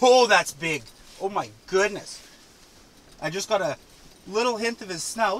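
A man's high-pitched voice, fairly slow with long, frequent pauses, ordinary pitch variation and big swings in loudness. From Winnipeg, Manitoba, Canada. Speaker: ice fishing video creator. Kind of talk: casual vlog narration. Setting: outdoors on a frozen lake. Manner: animated. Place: tent. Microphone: phone near.

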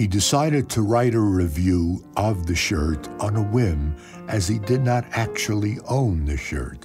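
Lively intonation marks the fairly slow speech, with music playing in the background. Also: man, fairly low pitch for a man. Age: 80s+. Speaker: web series narrator. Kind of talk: comedic encyclopedia narration.

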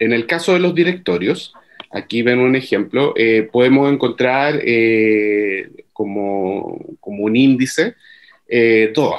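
Lively intonation runs through a man's speech at a very slow pace. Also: quiet background. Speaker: workshop presenter on journal indexing; presenter. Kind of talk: online workshop presentation. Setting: video call. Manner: halting, many fillers and repeats. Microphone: video call.

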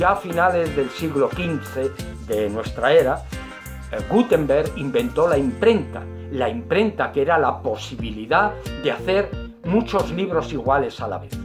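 Clear music runs in the background. A man talks at a fairly slow pace. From Spain. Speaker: retired teacher. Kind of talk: science comedy monologue. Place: home room. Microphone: webcam.

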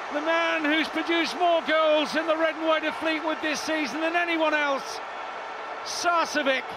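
A man's raised, projected voice at an extremely high pitch, monotone and flat, at a moderate pace, dry with no echo, amid loud background noise. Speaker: football commentator. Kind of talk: live football commentary. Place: stadium.

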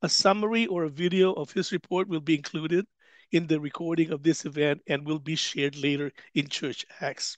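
At a fairly quick pace, a man with a fairly high pitch and ordinary pitch variation speaks in a dry sound with no echo against a quiet background. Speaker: church staff and panel facilitator. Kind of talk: panel moderation. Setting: online webinar, video call. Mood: calm, somber apology. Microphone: headset.

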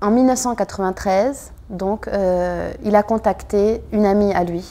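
In a French accent, a woman speaks with a dark, mellow tone and fairly even intonation. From France. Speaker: daughter searching for missing father. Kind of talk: testimony.

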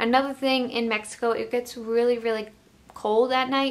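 A woman is speaking here. Her pace is moderate, neither quick nor slow. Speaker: travel vlogger. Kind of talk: casual vlog chat. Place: home room.

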